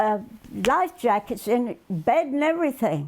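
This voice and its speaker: The speaker is a woman with a high pitch. She talks at a moderate pace. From England. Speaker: war bride. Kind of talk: interview answer.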